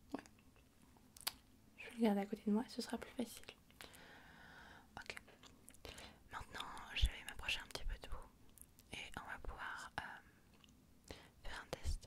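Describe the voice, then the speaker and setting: Someone whispers at a moderate pace, broken by long, frequent pauses. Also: woman. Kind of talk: ASMR medical role-play, soft-spoken consultation. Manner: soft-spoken, whispering.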